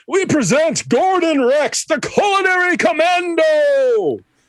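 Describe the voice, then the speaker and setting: A put-on character voice from a man, extremely high in pitch, delivered at a fairly slow pace. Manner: grandiose, announcing.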